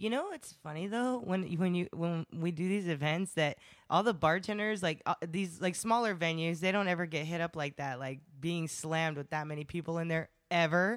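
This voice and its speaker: An ordinary speaking voice at a fairly quick pace, with ordinary pitch variation, on a very clean recording against a silent background. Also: woman, fairly low pitch for a woman. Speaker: event team member. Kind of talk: casual chat. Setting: studio.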